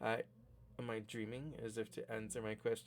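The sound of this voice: The pitch of an unforced reading voice varies in an ordinary way.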